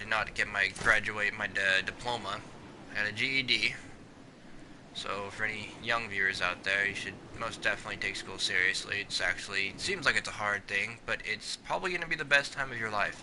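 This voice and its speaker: Noticeable background noise surrounds a man speaking at a fairly quick pace. His pitch is fairly low, with ordinary pitch variation. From US Pacific Northwest, Washington. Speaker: gaming streamer. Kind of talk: casual chat.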